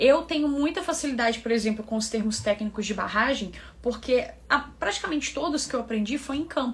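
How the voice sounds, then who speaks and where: With noticeable background noise behind her, a woman speaks at a fairly quick pace with lively intonation. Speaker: English teacher, environmental engineer. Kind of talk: online tutorial. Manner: casual, conversational.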